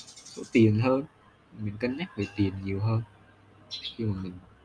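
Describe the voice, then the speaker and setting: A man talks at a moderate pace in a fairly low pitch, with noticeable background noise behind him. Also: long, frequent pauses. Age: 20s. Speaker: solo podcaster, recent intern. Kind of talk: casual personal monologue.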